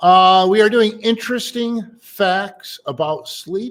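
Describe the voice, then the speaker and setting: A man mumbles. The recording is very clean, with a silent background. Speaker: radio host and mattress store president. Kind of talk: casual talk show segment. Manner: occasionally mumbling.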